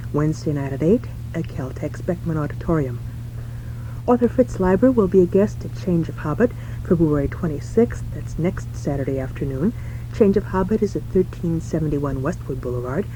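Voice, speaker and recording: A woman talks fairly quickly, and noticeable noise fills the background. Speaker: radio calendar announcer. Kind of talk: radio event announcements.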